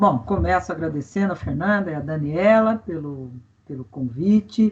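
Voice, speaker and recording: A somewhat breathy woman at a moderate pace, with lively intonation and big swings in loudness. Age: 60s. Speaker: environmental expert, forestry engineer and teacher. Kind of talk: interview.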